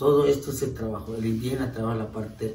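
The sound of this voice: Dark, mellow male voice at a moderate pace, ordinary pitch variation, audible room echo.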